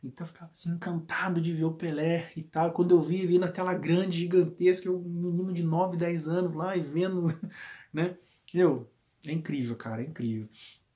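A man talks at a fairly quick pace in a high pitch with an animated tone. The background is quiet. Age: 40s. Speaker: football YouTuber. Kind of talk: casual vlog monologue. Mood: warm, nostalgic. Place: home room.

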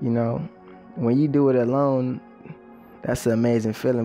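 With music in the background, a man at a medium pitch speaks at a fairly quick pace in a monotone, flat intonation. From Belize. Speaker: musician. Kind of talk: documentary interview monologue. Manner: reflective, casual.

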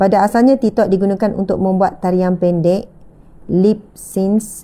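The delivery is fairly slow and monotone, with flat intonation and a dark, mellow tone. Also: woman. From Malaysia. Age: 30s. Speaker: religious teacher. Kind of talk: religious lecture. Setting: live stream with audience present. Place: home room. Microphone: lapel.

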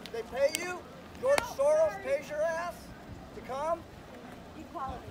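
The speech runs at a moderate pace against loud background noise. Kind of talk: shouted taunts. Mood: taunting, hostile. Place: street.

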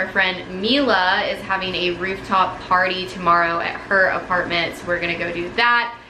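There is noticeable background noise behind this woman's voice. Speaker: lifestyle vlogger. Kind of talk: casual vlog chat. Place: home room. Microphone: phone near.

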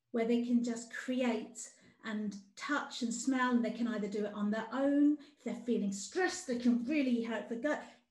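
A woman speaks with a high pitch. Audible room echo surrounds her voice. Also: ordinary pitch variation, moderate pace. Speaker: outdoor play campaigner. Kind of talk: presentation. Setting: video call. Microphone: video call.

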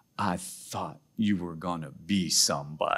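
Someone uses a put-on character voice at a fairly slow pace. The intonation stays fairly even. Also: man. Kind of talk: sermon.

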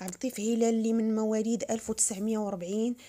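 The speech comes at a moderate pace with a Moroccan accent. Its intonation is monotone and flat. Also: woman. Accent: Moroccan Arabic (Darija). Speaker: vlogger. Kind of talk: news announcement with condolences.

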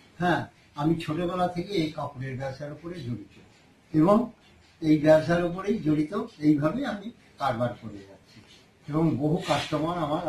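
In a room with audible echo and light background noise, a man speaks at a fairly high pitch. His pitch varies in an ordinary way while his loudness swings widely. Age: 60s. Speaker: handloom saree weaver and seller; seller. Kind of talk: product demonstration. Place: shop. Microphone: phone near.

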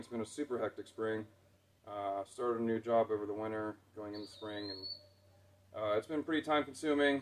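A man at a fairly quick pace with fairly even intonation. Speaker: channel host. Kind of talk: casual vlog chat. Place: open country. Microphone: camera far.

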